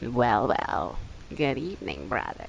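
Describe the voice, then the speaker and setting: Clear background noise sits behind a put-on character voice that moves at a fairly slow pace with very wide pitch swings. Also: man, medium pitch for a man. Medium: audio drama. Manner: emotionless, mocking, menacing.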